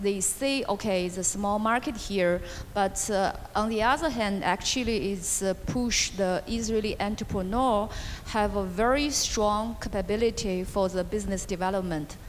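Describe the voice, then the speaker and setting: Over noticeable background noise, a woman with a Chinese accent speaks at medium pitch with ordinary pitch variation. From China. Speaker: venture capital investor. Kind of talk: panel interview. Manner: halting.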